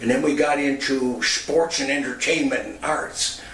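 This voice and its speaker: Delivered at a fairly slow pace, the speech carries noticeable background noise and audible room echo. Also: man. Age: 70s. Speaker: former radio personality and youth center founder. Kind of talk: personal testimony.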